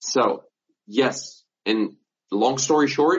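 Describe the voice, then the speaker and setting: The speaker is a man. Pitch variation in his voice is ordinary. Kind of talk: angry rant, heated and sarcastic, mocking a claim with hypotheticals. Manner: incredulous and scornful, sarcastic, sharp emphasis, swearing, with bitter laughs.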